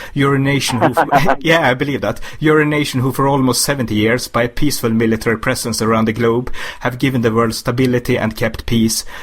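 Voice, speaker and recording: Over noticeable background noise, a man with a Swedish accent talks at a very fast pace. His pitch is medium, his intonation fairly even and his loudness very even. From Sweden. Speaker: interviewer. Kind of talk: interview.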